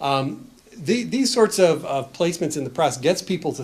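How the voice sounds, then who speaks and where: The voice carries an American accent. Its intonation is lively. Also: man. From United States. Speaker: professor presenting research report. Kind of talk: conference presentation. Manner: hesitant, many fillers and restarts.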